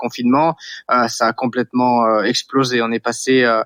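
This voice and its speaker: A man's medium-pitched voice in a dry, close sound with no echo. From western France, Vendée coast. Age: 40s. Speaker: startup founder. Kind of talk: interview. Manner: hesitant, many fillers and repetitions.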